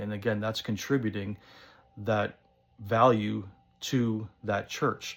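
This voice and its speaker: A fairly low-pitched man in a very clean recording with a silent background. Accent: American. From northern New Jersey. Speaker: pipe-smoking vlogger. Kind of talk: casual monologue vlog. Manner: casual, many fillers.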